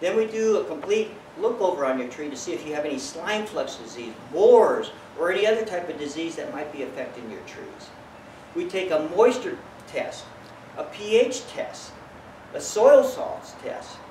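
A man talks at a moderate pace amid audible room echo and light background noise. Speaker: tree doctor, certified arborist. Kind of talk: business promotional talk to camera. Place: garden. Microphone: camera far.

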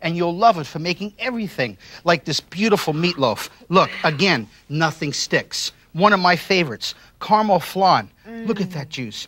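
This man sounds enthusiastic, with a high pitch and a bright, sharp tone. His intonation is lively and his pace moderate. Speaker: TV chef and infomercial host. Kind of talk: infomercial product demonstration. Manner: enthusiastic, salesy. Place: studio. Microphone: lapel.

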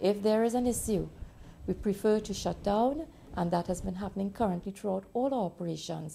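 Somewhat breathy and dark, mellow in tone, a woman speaks at a fairly quick pace with ordinary pitch variation. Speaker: former government minister. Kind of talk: interview answer. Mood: serious, measured. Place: office.

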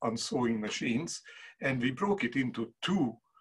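A man speaks in a somewhat breathy voice against a quiet background. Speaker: presenter. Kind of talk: lecture. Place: workshop. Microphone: video call.

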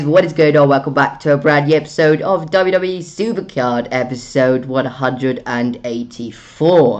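A raspy, put-on character voice at a low-to-middle pitch, fairly slow in pace with hardly any pauses. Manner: energetic video intro.

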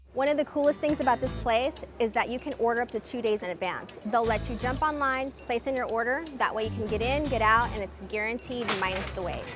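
The speech comes at a very fast pace with ordinary pitch variation. Clear music plays in the background, and the sound is dry with no echo. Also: woman. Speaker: tour host. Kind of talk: travel show presenting. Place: street. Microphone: lapel.

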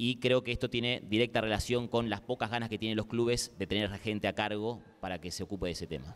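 Rattling along at a very fast pace, a man speaks with hardly any pauses and ordinary pitch variation. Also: medium pitch for a man. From Argentina, Quilmes; Argentina. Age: 30s. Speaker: sports journalist. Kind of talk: panel discussion. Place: hall. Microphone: handheld.

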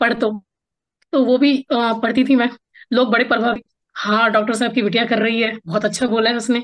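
A woman with a fairly high pitch speaks at a moderate pace in a monotone, flat intonation, with very even loudness and long, frequent pauses against a quiet background. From Bihar, Araria district; Bihar, India. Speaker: writer and poet; podcast guest, poet. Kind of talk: interview conversation. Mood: warm, reminiscing. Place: home room. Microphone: video call.

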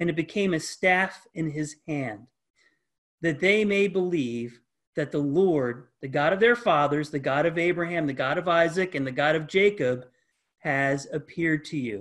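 At a moderate pace, a man with a fairly high pitch speaks with ordinary pitch variation over a quiet background. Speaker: pastor. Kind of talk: Bible study lesson. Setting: video call. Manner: halting, many fillers and repetitions. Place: home room. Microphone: webcam.

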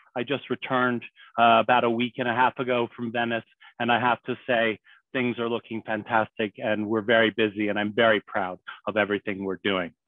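A man speaks at a fairly quick pace with monotone, flat intonation. The sound is dry with no echo, against a quiet background. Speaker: webinar host. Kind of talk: formal introduction. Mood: warm, welcoming. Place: home room. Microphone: headset.

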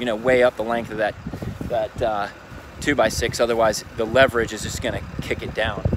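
Noticeable background noise sits behind a man who speaks at a fairly quick pace with fairly even intonation, the sound dry with no echo. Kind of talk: tutorial. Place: open country. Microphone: phone near.

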